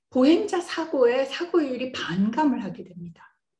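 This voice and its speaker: In a room with audible echo, a woman speaks at a very slow pace with very wide pitch swings. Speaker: computer science professor. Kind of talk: lecture.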